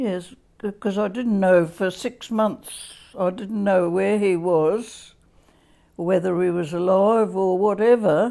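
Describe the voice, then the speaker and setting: A woman with an Australian accent speaks very slowly at a medium pitch. Her tone is dark and mellow, with fairly even intonation. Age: 80s+. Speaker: interviewee. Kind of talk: oral history interview. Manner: halting.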